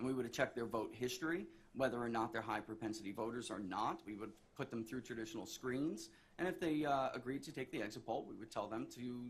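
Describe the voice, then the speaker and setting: There's audible room echo as a man talks at a very fast pace. His medium-pitched voice is somewhat breathy, with ordinary pitch variation. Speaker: pollster, expert witness. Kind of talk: court testimony.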